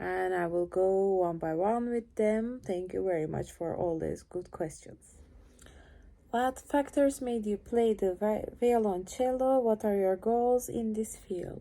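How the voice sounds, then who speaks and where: A woman with a Turkish accent, a dark, mellow tone, ordinary pitch variation and a fairly slow pace. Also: medium pitch for a woman. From Turkey. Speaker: cellist. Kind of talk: casual Q&A vlog. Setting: home, lying on couch in living room. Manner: shy, awkward.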